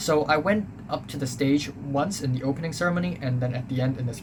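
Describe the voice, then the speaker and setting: Speaking at a fairly quick pace with an American accent, a man with a medium-pitched voice is heard over noticeable background noise and audible room echo. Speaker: YouTuber recounting school life. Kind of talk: casual storytelling monologue. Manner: hesitant, many fillers.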